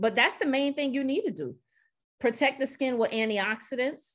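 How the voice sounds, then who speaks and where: A woman with a New York accent speaks in an animated tone with ordinary pitch variation. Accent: New York (Brooklyn), noticeable. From Brooklyn, New York. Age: 40s. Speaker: nurse and skin care expert. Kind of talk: casual interview chat. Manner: animated, candid, talkative.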